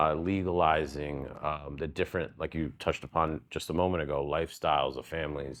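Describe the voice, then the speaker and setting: The voice is flat and monotone with vocal fry. It moves at a fairly quick pace with hardly any pauses. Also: man, very deep, low pitch for a man. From New Jersey, US (Secaucus). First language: Spanish. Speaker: lawyer. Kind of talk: interview.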